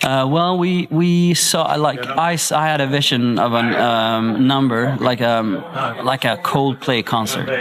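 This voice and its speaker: Noticeable background noise behind a man at medium pitch, at a fairly slow pace, with very even loudness and ordinary pitch variation. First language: Swedish. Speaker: singer. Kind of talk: interview. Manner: halting.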